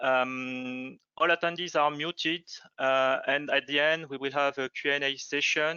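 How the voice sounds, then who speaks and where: A man with a French accent speaks at a fairly slow pace in a fairly high pitch with monotone, flat intonation. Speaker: product manager, webinar host. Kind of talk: webinar introduction. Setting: online webinar. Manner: halting, many hesitations.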